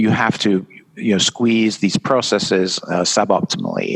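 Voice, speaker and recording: With a British accent, a man talks at a fairly slow pace and a fairly low pitch, the sound dry and close with no echo. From England. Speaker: event designer and author. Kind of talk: podcast interview. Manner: halting, many fillers.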